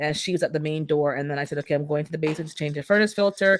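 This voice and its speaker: A woman talks at a very fast pace in an animated tone with ordinary pitch variation, recorded dry and close with no echo. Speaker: livestream host, landlord. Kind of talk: casual livestream chat.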